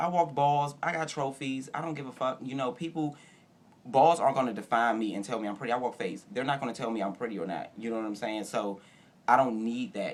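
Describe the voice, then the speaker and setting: Very fast, medium-pitched speech from a man with ordinary pitch variation. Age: 30s. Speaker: ballroom house father. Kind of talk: interview. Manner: loud.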